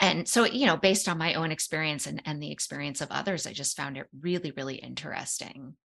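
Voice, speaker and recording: A woman talks at a very fast pace with hardly any pauses, her very deep, low pitch carrying vocal fry and a bright, sharp tone. Her pitch varies in an ordinary way while her loudness swings widely. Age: 50s. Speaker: psychologist and author. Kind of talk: interview conversation.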